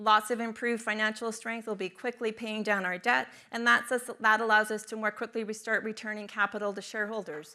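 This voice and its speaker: Her voice is fairly high, with a bright, sharp tone. The woman speaks at a fairly quick pace with monotone, flat intonation. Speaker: mining company investor relations executive. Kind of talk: conference presentation; audience Q&A answer. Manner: fast.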